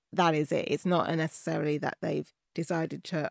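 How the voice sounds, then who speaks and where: Moderate pace in a British accent, a dry, close sound with no echo on a very clean recording with a silent background. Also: woman. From England, Birmingham and London. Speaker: podcast producer. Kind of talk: interview. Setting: studio.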